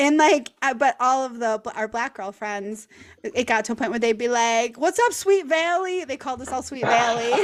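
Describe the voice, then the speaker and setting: This woman has an American accent, a high-pitched voice and lively intonation. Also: moderate pace. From US Midwest, Milwaukee, Wisconsin. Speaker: podcast host, content creator. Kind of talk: casual chat.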